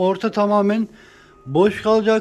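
A man speaks at a high pitch with a slightly mellow tone. His pace is fairly slow.

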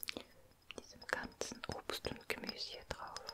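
A soft-spoken woman whispering at a very slow pace. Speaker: ASMR creator. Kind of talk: soft-spoken ASMR roleplay. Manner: soft whispered ASMR speech. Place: home room. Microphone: studio mic.

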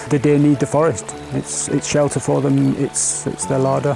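A man speaks at a moderate pace. The sound is dry with no echo, with clear music in the background. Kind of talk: interview answer. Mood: calm and explanatory. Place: open country.

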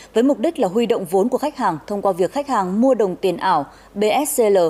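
Dark, mellow tone from a woman at a fairly high pitch, with lively intonation and a moderate pace. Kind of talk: news reading. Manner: formal.

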